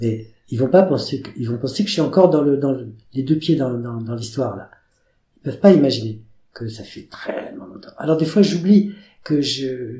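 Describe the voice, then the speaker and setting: Somewhat breathy and dark, mellow in tone, a man speaks at a medium pitch with lively intonation. His loudness swings widely, and his pace is moderate. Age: 70s. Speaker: fashion designer. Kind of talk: interview. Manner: animated.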